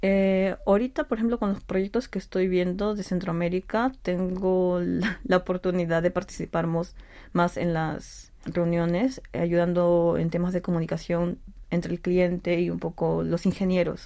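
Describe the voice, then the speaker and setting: A woman speaks with a dark, mellow tone at a fairly low pitch and with fairly even intonation. The recording is very clean, with a silent background. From Peru. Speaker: civil engineer. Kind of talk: interview.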